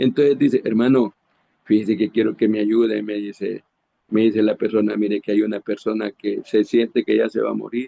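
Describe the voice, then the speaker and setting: In a monotone, flat delivery, a man with a fairly low pitch speaks at a fairly quick pace. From Honduras. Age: 60s. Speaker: preacher. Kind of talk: sermon. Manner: halting, with frequent repetitions.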